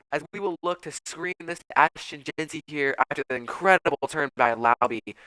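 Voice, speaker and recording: A man's fairly high pitch and bright, sharp tone, ordinary pitch variation and hardly any pauses, in a dry, close sound with no echo. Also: big swings in loudness. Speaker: video game streamer. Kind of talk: gameplay commentary. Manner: fast; animated.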